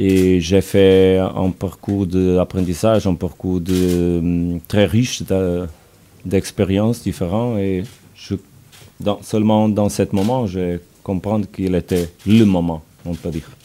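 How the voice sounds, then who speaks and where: A man's very deep, low voice, dark and mellow in tone, at a very slow pace. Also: fairly even intonation. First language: Portuguese (speaking French). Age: 40s. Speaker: football coach. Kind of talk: press conference. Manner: halting, hesitant.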